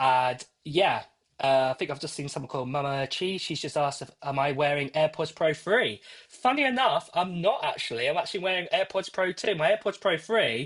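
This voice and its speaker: A man with an American accent speaks at a fairly high pitch and a fairly quick pace. His intonation is lively against a quiet background. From UK. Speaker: tech YouTuber. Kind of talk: live stream giveaway chat. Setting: live stream. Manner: rambling with many fillers. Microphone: AirPods Pro used as mic.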